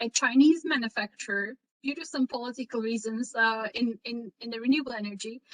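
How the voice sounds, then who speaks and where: Recorded dry and close with no echo, a woman with a Turkish accent speaks at a moderate pace in a high pitch. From Turkey. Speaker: renewable energy entrepreneur. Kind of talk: career talk in online session. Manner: halting, many fillers.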